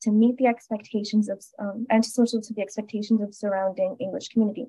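A woman with an American accent, a fairly high pitch and a dark, mellow tone, somewhat breathy, with fairly even intonation at a very fast pace over a quiet background. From US. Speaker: graduate student; presenter. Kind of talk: lecture. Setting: video call. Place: home room. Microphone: video call.

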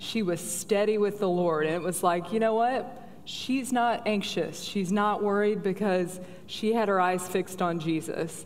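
A woman with an American accent talks at a fairly slow pace, with ordinary pitch variation. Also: medium pitch for a woman. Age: 30s. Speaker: guest speaker at women's conference. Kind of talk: panel Q&A; sermon-style talk. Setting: church stage with audience.

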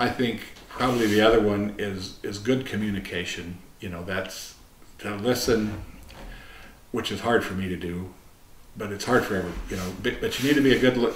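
Speaking at a fairly quick pace with fairly even intonation, a man with an American accent has a fairly low pitch, with audible room echo and light background noise. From US Midwest, Nebraska. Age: 60s. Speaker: retired wildlife biologist and agency director; interviewee. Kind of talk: oral history interview. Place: meeting room.

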